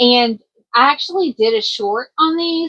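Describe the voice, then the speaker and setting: A woman with a Kentucky accent speaks with lively, bouncing intonation. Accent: country twang, Kentucky. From US South, Kentucky. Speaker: crochet vlogger and small business owner. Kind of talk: casual vlog, inventory walkthrough. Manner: casual, filler-heavy with self-corrections.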